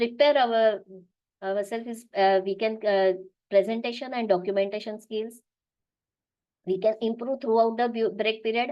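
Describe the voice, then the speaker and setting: A woman with a Marathi accent, moderate pace, and long, frequent pauses. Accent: Indian English, Marathi. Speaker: business analyst, webinar speaker. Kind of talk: webinar talk. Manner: halting, many fillers and restarts.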